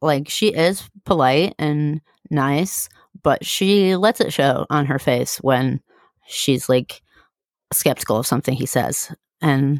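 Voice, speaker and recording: Very deep, low woman's voice at a very slow pace with ordinary pitch variation, dry and close with no echo, on a very clean recording with a silent background. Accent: Midwestern American. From US, from early childhood. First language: German. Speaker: podcast co-host. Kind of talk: casual chat.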